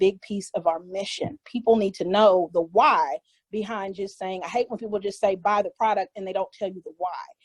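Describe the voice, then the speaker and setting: A woman with a medium pitch and a plain, everyday voice talks at a fairly quick pace, with hardly any pauses and fairly even intonation. Her loudness swings widely, and the sound is dry and close with no echo. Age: 40s. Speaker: skincare maker. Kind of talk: tutorial.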